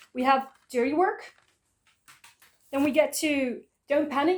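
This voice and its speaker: A woman with a Dutch accent talks at a moderate pace in a high pitch, with ordinary pitch variation. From Netherlands. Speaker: YouTuber, music collector. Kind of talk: casual collection showcase video.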